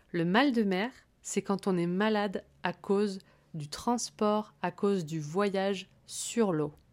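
On a very clean recording with a silent background, a woman speaks at a very slow pace and medium pitch with ordinary pitch variation. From Corsica. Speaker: French teacher and podcast host. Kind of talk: language-learning podcast monologue. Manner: clear, paced for learners.

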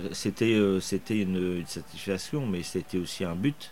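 Speaking at a very slow pace, a man has a fairly low pitch and a dark, mellow tone. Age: 60s. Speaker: motorcycle racing team manager. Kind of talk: interview. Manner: hesitant with frequent fillers.

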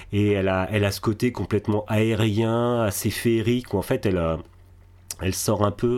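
A man speaks in a fairly low pitch at a moderate pace. His intonation is fairly even. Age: 40s. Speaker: podcaster. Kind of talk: interview. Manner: halting.

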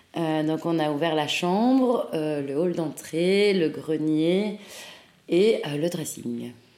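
A woman's fairly low, dark, mellow voice at a very slow pace, with ordinary pitch variation and audible room echo. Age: 20s. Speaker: fashion brand co-founder. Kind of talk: interview.

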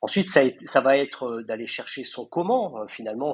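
His pitch is medium for a man, and this male speaker varies it in an ordinary way. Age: 50s. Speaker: mental coach for athletes. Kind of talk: interview. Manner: hesitant, repeats words.

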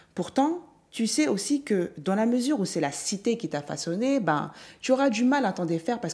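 This woman's voice sits at a medium pitch, with a dark, mellow tone and very wide pitch swings. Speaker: podcast host, mindset coach. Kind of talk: solo motivational monologue. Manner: improvised, conversational.

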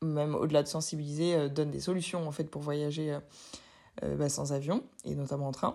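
A woman's very deep, low voice carries a dark, mellow tone and monotone, flat intonation. The recording is very clean, with a silent background. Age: 20s. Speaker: podcaster. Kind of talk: personal monologue. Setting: at home. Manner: casual, hesitant with fillers.

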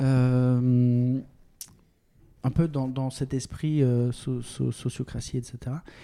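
Very slow, monotone, flat male delivery in a dark, mellow tone, with long, frequent pauses. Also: medium pitch for a man. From France, Bordeaux. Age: 40s. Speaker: tech entrepreneur. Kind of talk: interview. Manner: halting, many repetitions.

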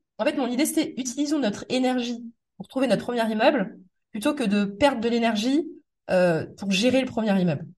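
A woman with a high pitch talks at a fairly quick pace, her intonation lively. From Metz, eastern France. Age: 30s. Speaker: property investor and podcast host. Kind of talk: casual interview.

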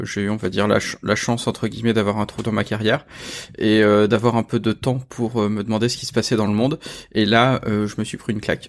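A man's fairly low voice in a monotone with flat intonation at a fairly quick pace. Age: 40s. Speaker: engineer and author. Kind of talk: interview.

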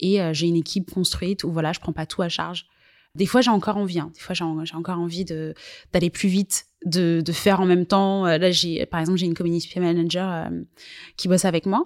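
At a moderate pace, the voice stays in a monotone, flat intonation, with a dry, close sound and no echo. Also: woman, fairly low pitch for a woman. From Guadeloupe. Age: 20s. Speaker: digital marketing agency founder. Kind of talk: interview. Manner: hesitant, many fillers.

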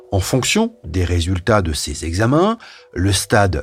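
Noticeable background noise sits behind this man. He speaks at a fairly slow pace in a fairly low pitch. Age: 50s. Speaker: journalist presenting a health podcast. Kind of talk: scripted narration.

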